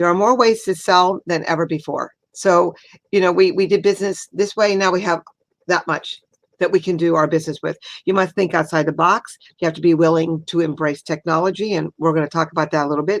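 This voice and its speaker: A woman in a plain, everyday voice speaks at a fairly quick pace with a fairly low pitch and fairly even intonation. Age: 60s. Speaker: retail merchant and sales trainer. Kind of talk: workshop talk.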